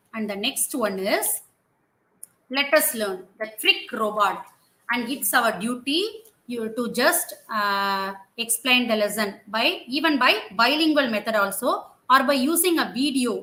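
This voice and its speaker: A woman's high, bright, sharp voice rises and falls in lively intonation as she speaks fairly slowly. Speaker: teacher trainer. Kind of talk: training session. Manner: halting.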